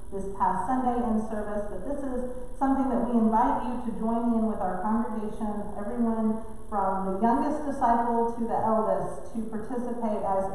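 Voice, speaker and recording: Strong room echo and light background noise surround a woman's voice. She talks at a moderate pace with fairly even intonation. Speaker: pastor. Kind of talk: church announcement. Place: church. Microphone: podium.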